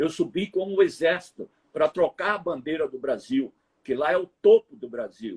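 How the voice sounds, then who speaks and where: A man at a moderate pace, with a dry, close sound and no echo. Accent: northeastern Brazilian. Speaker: TV reporter. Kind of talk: interview storytelling. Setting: live stream.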